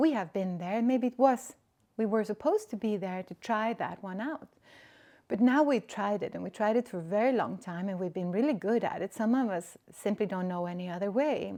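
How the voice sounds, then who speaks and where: Her tone is dark and mellow, with medium pitch. The woman speaks with a Swedish accent at a fairly quick pace. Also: ordinary pitch variation, very clean recording, silent background. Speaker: spiritual podcaster. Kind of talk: reflective monologue. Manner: halting.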